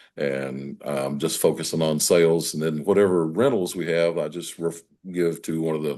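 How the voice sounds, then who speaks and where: Over a quiet background, a man with an Appalachian accent talks at a fairly slow pace with a very deep, low pitch, a dark, mellow tone and ordinary pitch variation. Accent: Southern US (Appalachian). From US South, western North Carolina. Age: 70s. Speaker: real estate broker. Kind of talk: interview. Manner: halting.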